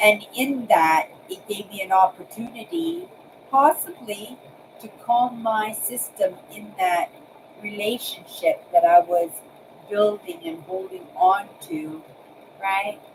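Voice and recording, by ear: A woman talks at a medium pitch and a slow pace. Her voice moves in big pitch swings.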